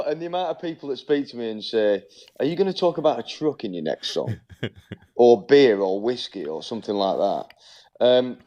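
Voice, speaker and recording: A man with a Merseyside accent speaks at a fairly quick pace and medium pitch, with a dark, mellow tone, very wide pitch swings and big swings in loudness. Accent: broad Northern English, Merseyside. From Birkenhead.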